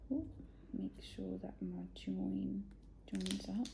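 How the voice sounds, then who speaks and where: Here a woman speaks with a British accent. Her pace is very slow. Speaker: children's ministry presenter. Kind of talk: craft tutorial for kids. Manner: friendly, encouraging.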